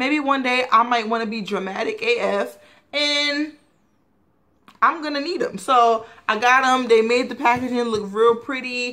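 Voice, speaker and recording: Over a quiet background, a woman with a high, bright, sharp voice speaks at a moderate pace with ordinary pitch variation. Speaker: beauty vlogger. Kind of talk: casual haul video. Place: home room. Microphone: webcam.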